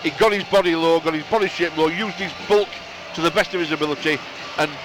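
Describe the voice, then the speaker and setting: Over noticeable background noise, a man with a strong Bradford accent speaks at a very fast pace and a fairly high pitch. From northern England, Bradford. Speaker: radio co-commentator. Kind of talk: live sports commentary.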